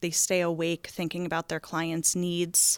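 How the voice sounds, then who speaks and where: A woman with an American accent speaks fairly slowly at a fairly low pitch, monotone and flat. The recording is very clean with a silent background, dry and close with no echo. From New Jersey, Philadelphia suburbs. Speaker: investment wholesaler. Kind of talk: interview.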